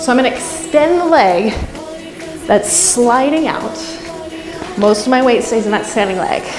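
Over clear background music, a woman talks at a moderate pace. Her pitch is high. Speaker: fitness instructor. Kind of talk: workout instruction. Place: home room.

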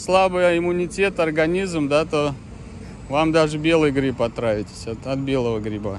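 Over noticeable background noise, a man speaks at a moderate pace with a fairly high pitch and lively intonation. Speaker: dog-owner video blogger. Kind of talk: casual vlog narration, talking to his dogs. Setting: outdoors. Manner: animated.

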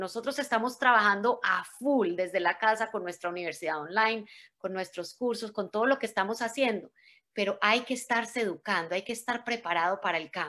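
A woman talks at a fairly quick pace with a fairly high pitch and a bright, sharp tone. Her pitch varies in an ordinary way against a quiet background. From Colombia, Medellín. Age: 40s. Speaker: motivational speaker. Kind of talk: motivational talk. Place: home room. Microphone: video call.

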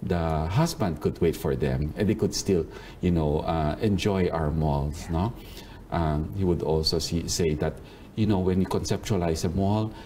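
A man's very deep, low voice at a moderate pace, very even in loudness, over light background noise. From Philippines. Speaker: mall operations executive. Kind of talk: interview. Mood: warm, reminiscing. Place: office. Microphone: lapel.

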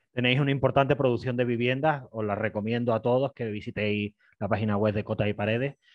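A man at a medium pitch talking at a very fast pace, fairly even in intonation, the sound dry with no echo over a quiet background. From Spain. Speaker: interviewer. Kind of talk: interview. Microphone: headset.

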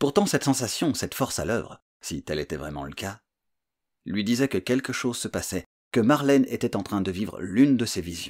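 A man with a fairly low pitch speaks at a moderate pace in a calm tone with vocal fry. The background is quiet. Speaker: audiobook narrator and author. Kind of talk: literary audiobook reading, scripted thriller narration. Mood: suspenseful thriller narration. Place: home room. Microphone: studio mic.

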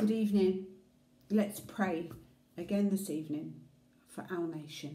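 A woman speaks at a medium pitch and a fairly slow pace, somewhat breathy, with a warm, dark, mellow tone, fairly even intonation and audible room echo. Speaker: prayer leader. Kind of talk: fervent intercessory prayer. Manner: earnest, reverent; warm, heartfelt pleading. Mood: calm, earnest, prayerful. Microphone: phone near.

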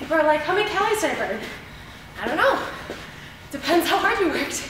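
A woman's raised, projected voice carries over noticeable background noise, with room echo audible. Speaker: fitness instructor. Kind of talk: workout instruction. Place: gym.

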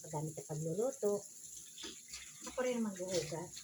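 There is audible room echo and noticeable background noise as a woman speaks with ordinary pitch variation. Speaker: vlogger. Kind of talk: casual vlog chat while doing chores. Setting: at home washing dishes.

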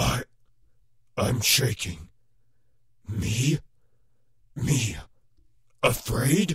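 A man at a medium pitch uses a put-on character voice and speaks at a very slow pace. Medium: voice reel. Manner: shaken, agitated.

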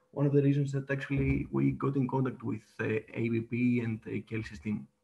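In a Greek accent, a man speaks at a fairly quick pace. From Greece. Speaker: data platform presenter; presenter. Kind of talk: webinar presentation and demo. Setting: video call. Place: home room. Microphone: webcam.

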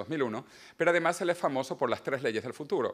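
A male speaker over a quiet background. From Venezuela. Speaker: author and futurist. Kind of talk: book presentation talk. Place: hall. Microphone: lapel.

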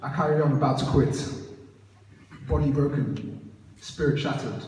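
There's audible room echo and light background noise. A man speaks at a fairly slow pace. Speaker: student poet. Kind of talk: spoken word poetry performance with casual intro. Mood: nervous casual then earnest. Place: church.

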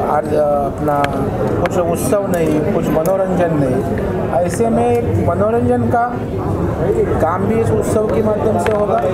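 A man speaking at a very slow pace over loud background noise. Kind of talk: press statement to media. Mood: earnest, upbeat about festivals. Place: hall. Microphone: handheld.

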